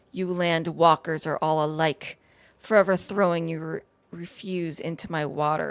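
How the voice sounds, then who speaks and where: A wheezy, put-on character voice at a middle pitch and a moderate pace. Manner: scolding, haughty.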